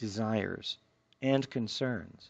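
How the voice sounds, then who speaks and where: A soft-spoken man talks over a quiet background. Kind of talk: self-help book reading.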